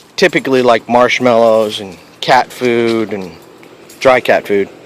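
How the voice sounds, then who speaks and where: A man's medium-pitched voice, dry and close with no echo, over noticeable background noise. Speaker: pest control technician. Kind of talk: tutorial.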